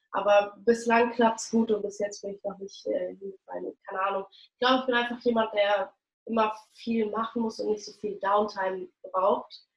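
A woman's fairly high voice at a moderate pace, with monotone, flat intonation and big swings in loudness. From Berlin, Germany. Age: young. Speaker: actress and singer. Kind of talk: interview.

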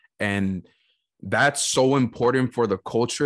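Against a quiet background, a man with an American accent speaks at a medium pitch and a fairly slow pace. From US West Coast. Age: 30s. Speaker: podcast host, former college soccer player and coach. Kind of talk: casual chat. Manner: animated.

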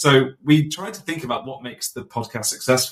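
A man's somewhat breathy voice with a British accent, at a very fast pace. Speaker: podcast host.

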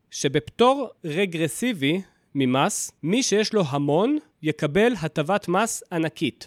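Recorded very cleanly against a silent background, with a dry, close sound and no echo, a man speaks at a very slow pace and a high pitch, with very wide pitch swings and very even loudness. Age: 30s. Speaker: personal finance podcaster. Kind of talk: solo podcast monologue.

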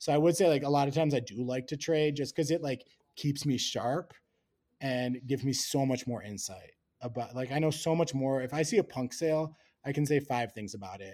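With an American accent, a man speaks at a fairly quick pace in a dark, mellow tone, his pitch fairly high with ordinary variation. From US Midwest, Wisconsin. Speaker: NFT research director. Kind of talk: casual interview.

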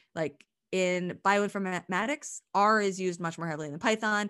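In an American accent, a woman with an unremarkable speaking voice talks at a medium pitch with ordinary pitch variation against a quiet background. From Pennsylvania, US. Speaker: university professor. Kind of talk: interview conversation.

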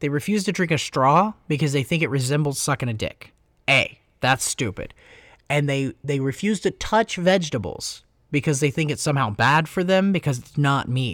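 A man with an ordinary speaking voice, pitched fairly high, talks at a moderate pace with lively intonation. The recording is very clean, with a silent background. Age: 20s. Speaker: tattoo artist. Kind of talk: casual chat. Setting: makeshift studio in a tattoo shop hallway.

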